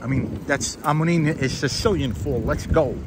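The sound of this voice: There is clear background noise behind this man. His pitch sits fairly high, with ordinary variation, at a fairly slow pace.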